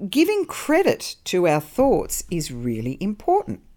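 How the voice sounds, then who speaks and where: A woman at a very slow pace in a warm tone, very clean recording with a silent background. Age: 50s. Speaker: podcast host on mindset and wellbeing. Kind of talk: solo motivational talk. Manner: warm, conversational.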